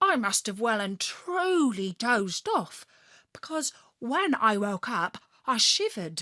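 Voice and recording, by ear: Text is read aloud here in a natural voice.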